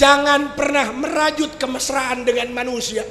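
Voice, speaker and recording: A man speaks in a raised, projected voice at an extremely high pitch, with an animated tone, ordinary pitch variation and a fairly slow pace. Noticeable background noise and audible room echo fill the recording. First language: Sundanese (speaking Indonesian). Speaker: Islamic preacher. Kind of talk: humorous sermon.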